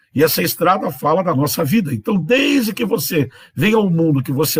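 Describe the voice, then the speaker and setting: A man speaks in a high voice, his pitch swinging very widely. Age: 60s. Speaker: bishop, preacher. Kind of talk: sermon. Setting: livestream.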